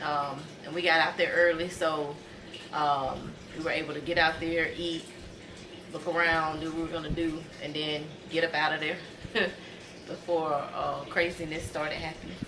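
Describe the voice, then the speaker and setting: Over noticeable background noise, a woman with a very deep, low pitch speaks at a moderate pace in a monotone, flat way, leaving long, frequent pauses. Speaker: vlogger. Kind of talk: casual vlog chat. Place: home room. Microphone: phone near.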